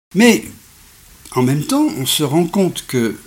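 A man talks at a very slow pace in a somewhat breathy voice. His pitch swings very widely. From France, Savoie (Alps). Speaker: science podcaster and author. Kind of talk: lecture. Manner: measured, didactic.

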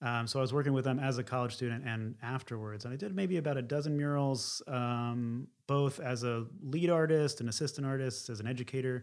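Recorded very cleanly against a silent background, a man with an American accent and an unremarkable speaking voice talks at a fairly quick pace with hardly any pauses, medium pitch and ordinary pitch variation. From Philadelphia area, US. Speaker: painter. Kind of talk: interview.

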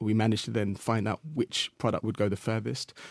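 A man with a medium pitch is heard in a very clean recording with a silent background and a dry, close sound with no echo. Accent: English. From England. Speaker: social entrepreneur. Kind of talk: interview. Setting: studio.

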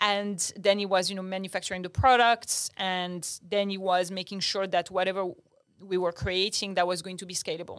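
A woman with a French accent speaks at a moderate pace in a medium pitch, her intonation monotone and flat but her loudness swinging widely, on a very clean recording with a silent background. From Morocco (Agadir), half French. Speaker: startup founder. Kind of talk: interview conversation.

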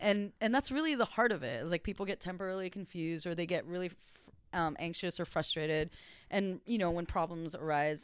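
A woman at medium pitch and a fairly quick pace, with ordinary pitch variation, in a very clean recording over a silent background. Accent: Californian. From US, Los Angeles. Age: 30s. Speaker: first assistant director in TV. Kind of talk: casual interview chat.

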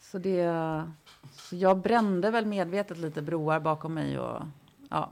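Fairly slow and fairly even in intonation, an unremarkable speaking voice carries on. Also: woman, fairly low pitch for a woman. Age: 40s. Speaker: journalist and feminist writer. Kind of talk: casual chat.

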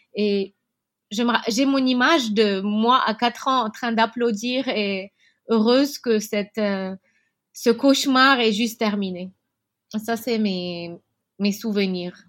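With long, frequent pauses and a very slow pace, a woman speaks at a fairly high pitch with ordinary variation on a very clean recording with a silent background. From Lebanon, Beirut (Achrafieh). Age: 30s. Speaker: entrepreneur. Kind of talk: interview. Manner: halting, many fillers.

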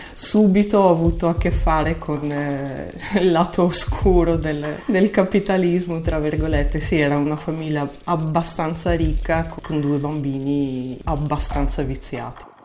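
A woman speaks at a fairly slow pace with a very deep, low pitch and fairly even intonation. Noticeable background noise can be heard. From Moldova, Russian-speaking family in Chisinau. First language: Russian (speaking Italian). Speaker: Italian teacher, immigrant telling her story. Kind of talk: interview storytelling.

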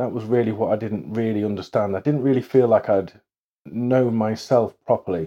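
A man's dark, mellow voice at medium pitch. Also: ordinary pitch variation, moderate pace. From England, moved from Ireland at five. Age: 40s. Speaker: hypnotherapy trainee, former IT worker. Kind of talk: casual interview chat. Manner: halting, many fillers.

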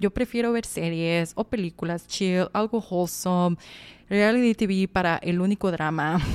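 Her pitch medium with ordinary variation, a woman talks at a fairly slow pace. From Sonora, Mexico. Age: 20s. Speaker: podcast host. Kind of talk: personal monologue. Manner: talkative.

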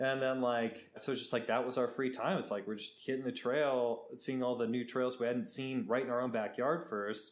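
Audible room echo surrounds a man speaking at medium pitch and a moderate pace, with fairly even intonation and hardly any pauses. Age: 30s. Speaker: travel photographer. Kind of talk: casual chat.

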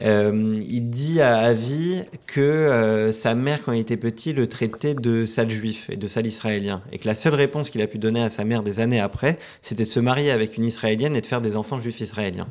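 A man's voice sits at a medium pitch, moving fairly quickly with ordinary pitch variation. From Paris, France. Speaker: writer. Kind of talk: interview. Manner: hesitant.

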